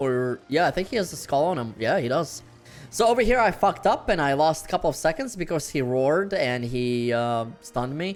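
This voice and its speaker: Over music in the background, a man with a non-native accent talks at a fairly quick pace, his fairly high pitch making very wide swings. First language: not English. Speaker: gaming YouTuber. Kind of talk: live gameplay commentary. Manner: casual, filler-heavy.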